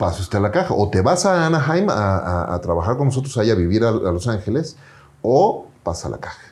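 Somewhat breathy, a man talks at a fairly quick pace in a medium pitch with very wide pitch swings. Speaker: entrepreneur and podcaster. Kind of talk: interview storytelling.

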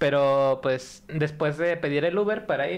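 A man's normal speaking voice, fairly high in pitch, at a fairly slow pace with ordinary pitch variation. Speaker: podcast guest. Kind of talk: casual chat. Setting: studio with live audience.

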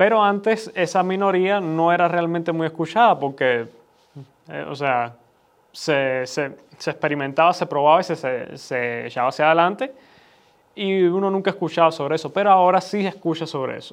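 With a fairly high pitch and ordinary pitch variation, the man talks at a moderate pace, leaving long, frequent pauses. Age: 20s. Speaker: son of the host, commentator. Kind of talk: conversational discussion. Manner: halting, repeats words.

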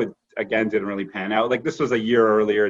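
This man has an ordinary speaking voice, fairly low in pitch and delivered at a fairly quick pace. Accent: Canadian. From Canada (Toronto area). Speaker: corporate lawyer. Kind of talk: casual interview.

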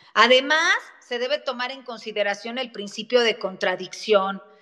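A woman talks at a fairly slow pace in a fairly high pitch. She has a normal speaking voice with ordinary pitch variation. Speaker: lawyer and legal scholar. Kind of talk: interview on a live audio space. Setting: online audio room.

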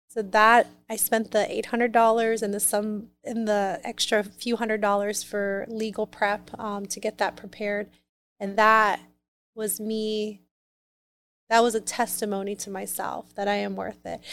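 Her fairly high pitch stays flat and monotone as the woman talks at a moderate pace. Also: very clean recording, silent background. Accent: American. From US Midwest, Columbus, Ohio. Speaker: business coach and company founder. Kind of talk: interview conversation.

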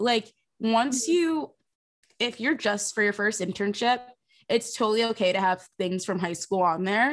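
A woman's fairly high voice with an American accent, a normal speaking voice, lively intonation, very even loudness and a moderate pace. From South Jersey, US. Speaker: social media producer, former intern. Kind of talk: casual interview.

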